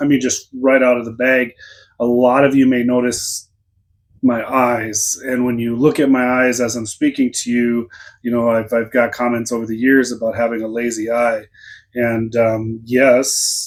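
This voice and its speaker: At a moderate pace, a man speaks in a flat monotone at medium pitch. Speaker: sales coach vlogger. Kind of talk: casual vlog talk to camera. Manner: informal, hesitant with many fillers.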